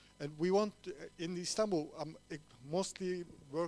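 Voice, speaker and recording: Speaking with a Turkish accent, a man keeps a fairly slow pace and ordinary pitch variation. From Cyprus. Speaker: TV show host. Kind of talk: short talk at event. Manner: halting.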